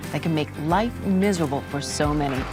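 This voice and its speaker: With music in the background, a woman talks at a fairly quick pace in a warm tone. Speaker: TV host. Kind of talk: infomercial host interview in front of studio audience.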